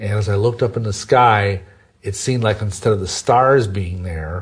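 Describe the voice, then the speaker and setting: A man speaks at a moderate pace with a fairly low pitch. His voice is somewhat breathy, with fairly even intonation. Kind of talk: interview testimony.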